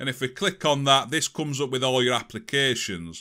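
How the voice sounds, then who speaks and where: A bright, sharp tone at a fairly quick pace on a very clean recording with a silent background. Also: man. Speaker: tech tutorial youtuber. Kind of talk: tutorial. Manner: casual.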